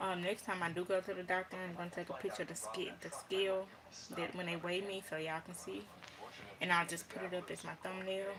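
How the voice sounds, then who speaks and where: Against noticeable background noise, a woman of medium pitch talks at a very fast pace with fairly even intonation. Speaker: vlogger. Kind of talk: casual vlog monologue.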